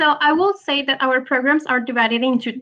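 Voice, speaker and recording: In a French accent, a woman projects her high-pitched voice. Her tone is bright and sharp, with ordinary pitch variation. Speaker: business school representative. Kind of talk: webinar interview. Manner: halting, many fillers.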